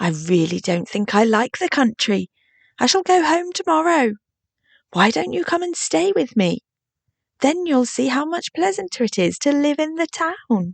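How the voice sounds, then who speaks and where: Someone uses a put-on character voice at a moderate pace, with very wide pitch swings. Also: female-sounding voice, high pitch for a woman. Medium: read story. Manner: grand and condescending.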